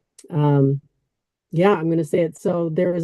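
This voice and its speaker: In an American accent, a voice with a dark, mellow tone moves at a moderate pace with fairly even intonation, the sound dry and close with no echo. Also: woman. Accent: completely American. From US Midwest, Chicago. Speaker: former banker, interview guest. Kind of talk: interview.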